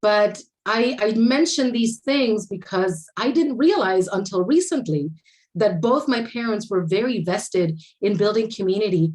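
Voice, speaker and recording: A woman with a Spanish accent and fairly high pitch speaks at a fairly slow pace, with lively intonation and very even loudness. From Puerto Rico. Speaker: architecture panelist. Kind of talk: conference panel talk.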